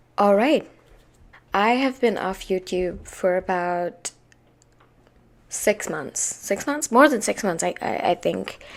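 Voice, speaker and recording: Very slowly, a woman speaks at medium pitch with lively intonation and long, frequent pauses. The recording is very clean, with a silent background. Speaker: youtuber sharing life advice. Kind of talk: casual vlog monologue. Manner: halting, repeating words.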